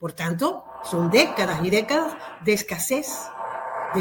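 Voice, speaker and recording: Her pitch swinging very widely, a woman talks at a fairly slow pace. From Cuba. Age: 60s. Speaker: activist. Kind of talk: interview.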